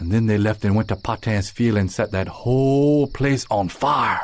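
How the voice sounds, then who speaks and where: A man is speaking. He has a Cajun accent. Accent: Cajun Louisiana English. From South Louisiana. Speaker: storyteller. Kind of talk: ghost story telling. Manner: folksy, colloquial.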